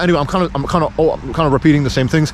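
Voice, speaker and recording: A man's fairly high voice races along very fast while noticeable noise sits behind him. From Pakistan. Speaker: vlogger. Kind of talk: casual vlog monologue. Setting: outdoors by a road. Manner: halting, repetitive.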